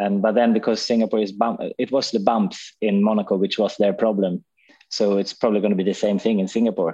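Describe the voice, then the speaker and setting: A man with a Swedish accent speaks at a fairly quick pace in a fairly low pitch with a dark, mellow tone. His intonation is monotone and flat, and his loudness is very even. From Sweden. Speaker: touring car racing driver. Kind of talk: casual chat.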